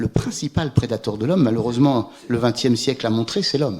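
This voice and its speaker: This man has a dark, mellow tone at a medium pitch. He talks at a moderate pace with ordinary pitch variation. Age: 60s. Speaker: climate scientist. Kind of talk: Q&A after a public lecture. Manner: hesitant, many repetitions.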